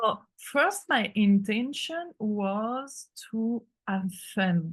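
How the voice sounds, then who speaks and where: A woman with a French accent. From France. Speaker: artist and creative mentor. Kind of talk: interview conversation. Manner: halting, many fillers.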